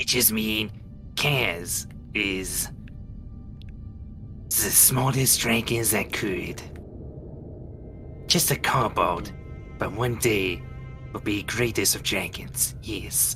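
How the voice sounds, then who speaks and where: A man uses a put-on character voice with a fairly low pitch, at a very slow pace with long, frequent pauses. Loud background noise runs throughout. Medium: actual play. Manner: broken, simple phrasing.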